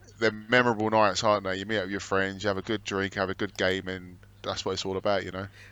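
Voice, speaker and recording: Talking at a very fast pace, a man with a London accent speaks in a fairly low pitch with monotone, flat intonation. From London, England. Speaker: podcast co-host, gym manager. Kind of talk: casual chat.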